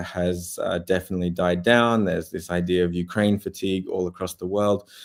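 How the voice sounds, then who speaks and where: Recorded very cleanly with a silent background, a man speaks in a very deep, low voice. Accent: Australian. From Australia. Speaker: war journalist. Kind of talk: interview. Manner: hesitant, many fillers.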